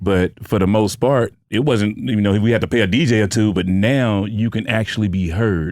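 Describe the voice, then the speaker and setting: An unremarkable speaking voice with ordinary pitch variation, moderate pace, hardly any pauses and very even loudness, on a very clean recording with a silent background. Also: man, fairly low pitch for a man. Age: 40s. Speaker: podcast host. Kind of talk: casual interview chat.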